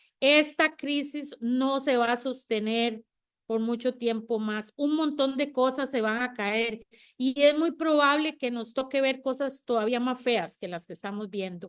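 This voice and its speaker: With a very clean recording and silent background, a woman speaks in a high pitch with ordinary pitch variation. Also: fairly slow pace. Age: 60s. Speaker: panel guest. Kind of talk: panel discussion.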